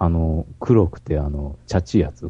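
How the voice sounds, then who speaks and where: A man's very deep, low voice unfolds fairly slowly with ordinary pitch variation. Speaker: podcast co-host. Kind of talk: casual chat.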